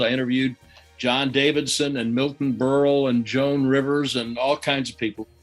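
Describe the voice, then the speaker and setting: Music plays in the background as a man talks at a moderate pace. His pitch is fairly high and his intonation monotone and flat. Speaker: sports broadcaster. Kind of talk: interview answer.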